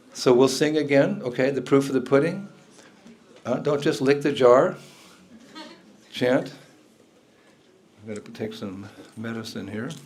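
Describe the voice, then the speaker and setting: With audible room echo and noticeable background noise, a man at medium pitch talks at a moderate pace with ordinary pitch variation, big swings in loudness and long, frequent pauses. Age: 70s. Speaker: spiritual teacher. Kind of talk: lecture.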